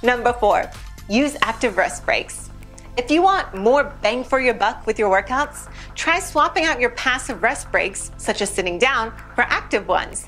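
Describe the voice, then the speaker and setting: Faint music plays in the background as a woman talks at a moderate pace in a high pitch. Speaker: presenter. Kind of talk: scripted tips presentation.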